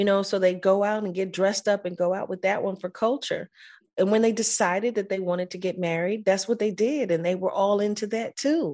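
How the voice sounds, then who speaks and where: A woman with an American accent speaks at a fairly quick pace, her medium pitch carrying a dark, mellow, warm tone. Her intonation stays fairly even against a quiet background. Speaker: actor guest. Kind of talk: casual interview.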